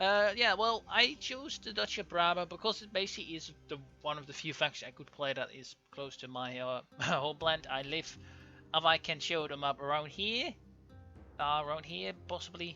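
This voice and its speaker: With music in the background, a man with a Dutch accent talks at a moderate pace with a fairly high pitch and lively intonation. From Netherlands, Overijssel. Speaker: gaming YouTuber. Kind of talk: let's play commentary. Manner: halting, many fillers.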